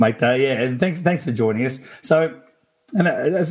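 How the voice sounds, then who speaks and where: With an Australian accent, a man talks at a fairly quick pace. His pitch varies in an ordinary way. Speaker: podcast host. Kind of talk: casual chat.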